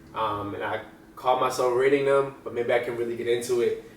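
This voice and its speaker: A man at medium pitch speaks with an American accent. His intonation is monotone and flat, and there is audible room echo. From New Jersey. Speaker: vlogger. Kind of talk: casual vlog monologue. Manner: varying pace, sometimes fast; casual, filler-heavy.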